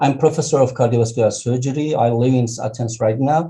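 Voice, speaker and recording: In a Turkish accent, a man talks at a fairly quick pace with fairly even intonation and a dark, mellow, somewhat breathy tone. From Turkey. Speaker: professor and surgeon. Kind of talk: testimony.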